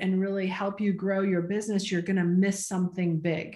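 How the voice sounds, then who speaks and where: Against a quiet background, a somewhat breathy woman talks at a moderate pace. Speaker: interviewer and host for a real estate investor association. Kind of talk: interview host questions. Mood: friendly, upbeat. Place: home room. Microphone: video call.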